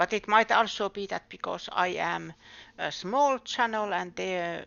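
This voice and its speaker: With ordinary pitch variation, a woman speaks with a non-native accent. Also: medium pitch for a woman, fairly slow pace. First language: not English. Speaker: game streamer. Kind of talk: casual live-stream chat. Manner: halting.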